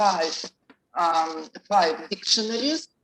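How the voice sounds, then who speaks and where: A woman speaks with a Russian accent at a medium pitch and a fairly slow pace. The sound is dry and close, with no echo. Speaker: professor presenting research. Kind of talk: conference Q&A. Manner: halting.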